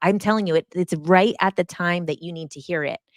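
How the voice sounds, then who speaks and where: A woman speaks in an animated tone with ordinary pitch variation. The very clean recording has a silent background and a dry, close sound with no echo. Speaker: hypnotist and spiritual coach. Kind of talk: live stream chat reading comments. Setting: live stream. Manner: fast.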